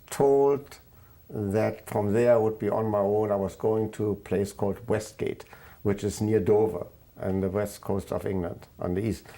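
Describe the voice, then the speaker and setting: Recorded very cleanly against a silent background, a man with a German accent speaks fairly slowly in a fairly low pitch, his tone dark and mellow and his intonation fairly even. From Germany, Königsberg. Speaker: Holocaust refugee recounting life story. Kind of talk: oral history interview. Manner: halting, many fillers.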